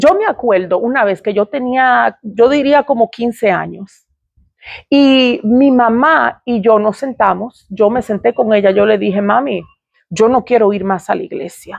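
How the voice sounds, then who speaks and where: Against a quiet background, a woman with an ordinary speaking voice talks at a fairly slow pace. Her pitch is fairly high with ordinary variation, in a dry, close sound with no echo. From Dominican Republic / Puerto Rico heritage. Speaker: ministry speaker. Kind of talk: personal testimony.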